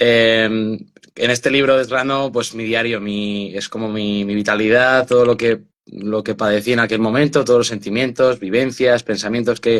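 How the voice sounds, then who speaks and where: The man speaks at a moderate pace in a medium pitch. His intonation is monotone and flat. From Spain, Burgos. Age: 20s. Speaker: author and mental health activist. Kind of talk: interview testimony. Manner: hesitant, many fillers and repetitions.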